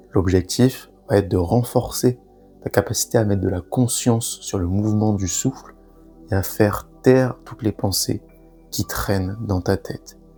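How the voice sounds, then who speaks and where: Calm, fairly slow man's voice, fairly low in pitch with ordinary pitch variation, over music in the background. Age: 20s. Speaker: breathwork guide. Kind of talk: guided breathing meditation. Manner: calm, slow, instructive.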